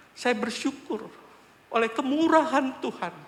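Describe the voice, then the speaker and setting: A man with an extremely high pitch talks at a moderate pace with lively intonation. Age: 60s. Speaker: church elder giving testimony. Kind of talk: testimony. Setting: church.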